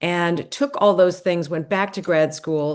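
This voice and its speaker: In an American accent, a woman speaks in a plain, everyday voice at a fairly low pitch and fairly slow pace, with fairly even intonation over a quiet background. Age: 60s. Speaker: gerontologist and longevity coach. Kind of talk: podcast interview. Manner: conversational.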